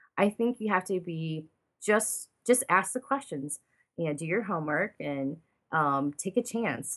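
The tone is bright and sharp, with ordinary pitch variation. The background is quiet. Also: woman. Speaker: painter. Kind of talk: casual interview chat. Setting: recording from home studio.

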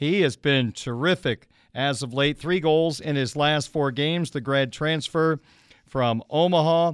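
In a dry, close sound with no echo, a man with a plain, everyday voice speaks fairly slowly at a fairly high pitch, with ordinary pitch variation. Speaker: radio sports host. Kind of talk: live sports radio talk show; hockey play-by-play recap. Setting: radio studio.

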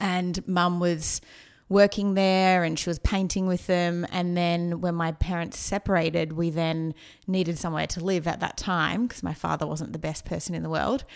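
A woman with an Australian accent talks at a fairly low pitch in a monotone, flat way. The recording is very clean, with a silent background. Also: moderate pace. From Australia, outskirts of Melbourne. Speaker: marketing consultant. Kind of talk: casual interview.

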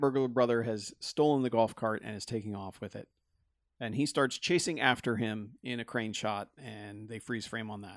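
A man with an ordinary speaking voice talks at a medium pitch and moderate pace, with fairly even intonation. His loudness swings a lot on a very clean recording with a silent background. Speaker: podcast host. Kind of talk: casual banter about a movie.

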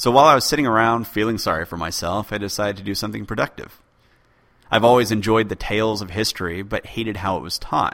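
This man talks at a very fast pace. His voice sits fairly low and has ordinary pitch variation. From born in UK, raised in US. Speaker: podcast host, history podcaster. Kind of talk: solo listener Q&A, casual explanatory.

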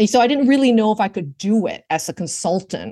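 Against a quiet background, a woman with a fairly high pitch speaks at a fairly quick pace, her voice showing vocal fry. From Vancouver, Canada. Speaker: work reinvention strategist. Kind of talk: interview conversation. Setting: remote call.

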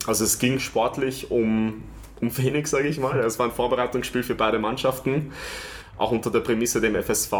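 Here a man has an unremarkable speaking voice at medium pitch. He talks at a moderate pace with fairly even intonation. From Vienna, Austria. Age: 30s. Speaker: stadium announcer. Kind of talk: interview.

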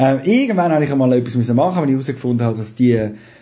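A man at medium pitch sounds somewhat breathy and speaks with lively intonation. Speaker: radio producer and trainer. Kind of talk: casual interview.

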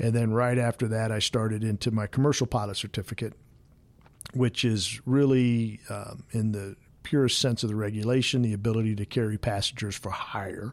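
A man speaks at a moderate pace and a medium pitch, with monotone, flat intonation. The recording is very clean, with a silent background. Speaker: airline pilot and flight training director. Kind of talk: interview. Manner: halting, many fillers.

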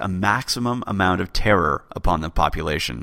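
The man has a fairly low pitch and a bright, sharp tone. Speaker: history podcast host. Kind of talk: scripted narration.

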